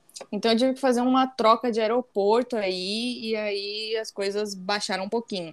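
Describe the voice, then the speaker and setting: A woman talks in an ordinary speaking voice at a moderate pace, with fairly even intonation and hardly any pauses. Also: fairly high pitch for a woman. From Santa Catarina, southern Brazil. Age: 20s. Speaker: naval engineer and embroidery creator. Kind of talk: casual chat.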